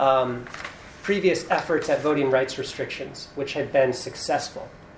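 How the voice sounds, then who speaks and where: The speech moves at a moderate pace with ordinary pitch variation. Noticeable background noise can be heard. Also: man. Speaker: law professor panelist. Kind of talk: panel talk. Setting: in-person event with audience.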